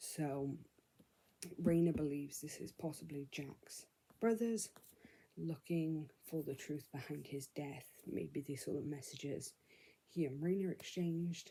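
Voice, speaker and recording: At a fairly slow pace with long, frequent pauses, a woman speaks in a very deep, low pitch with ordinary pitch variation. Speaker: book vlogger. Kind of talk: casual vlog, book recap. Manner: speaking quietly.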